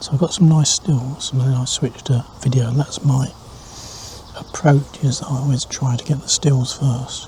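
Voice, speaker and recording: Noticeable background noise sits behind a man's voice. His pitch is fairly high and his intonation fairly even. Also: moderate pace. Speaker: wildlife photographer. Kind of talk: casual to-camera vlog. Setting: outdoors in a hide. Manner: quiet, hushed.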